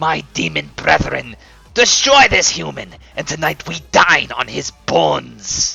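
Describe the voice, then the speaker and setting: A man does a put-on character voice at a fairly slow pace. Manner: menacing, theatrical.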